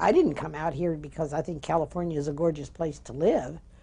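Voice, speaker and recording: A woman speaks in a dark, mellow, somewhat breathy tone with a very deep, low pitch. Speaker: interviewee. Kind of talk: oral history interview. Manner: halting.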